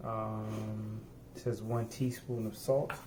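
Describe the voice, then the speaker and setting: A somewhat breathy man's voice with a dark, mellow tone. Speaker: home cooking vlogger. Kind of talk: cooking tutorial. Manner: soft-spoken; halting.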